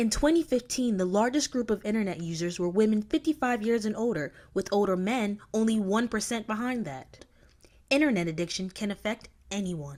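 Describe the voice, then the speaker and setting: A plain, everyday voice with lively intonation at a fairly quick pace. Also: woman, fairly high pitch for a woman. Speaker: TV news reporter. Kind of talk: TV news reporter package narration.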